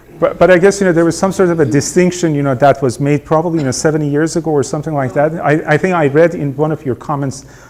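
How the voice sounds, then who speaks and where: A man with a non-native accent talks at a very fast pace. His pitch is fairly high, with ordinary variation. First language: not English. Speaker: veterinary researcher, network director. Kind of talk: seminar talk. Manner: halting, many fillers.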